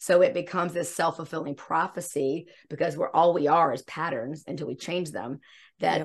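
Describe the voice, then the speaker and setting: Ordinary pitch variation at a fairly quick pace, against a quiet background. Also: woman, fairly low pitch for a woman. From US South, South Carolina. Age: 50s. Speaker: embodiment coach. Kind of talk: casual interview.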